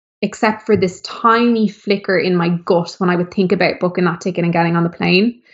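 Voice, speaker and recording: A woman with an Irish accent talks at a fairly quick pace with hardly any pauses, at medium pitch. Her loudness is very even and her intonation fairly even. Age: 30s. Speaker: former model and DJ turned author. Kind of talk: interview conversation. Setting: video call.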